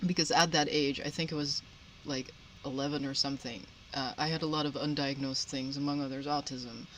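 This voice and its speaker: A woman's very deep, low voice at a fairly quick pace, with fairly even intonation. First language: Dutch. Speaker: podcast panelist. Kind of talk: casual chat. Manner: halting.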